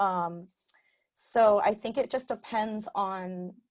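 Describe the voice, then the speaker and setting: A woman's medium-pitched voice in a very clean recording with a silent background. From Southern California (Riverside). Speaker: QA automation engineer. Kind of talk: meetup talk. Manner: hesitant, many fillers.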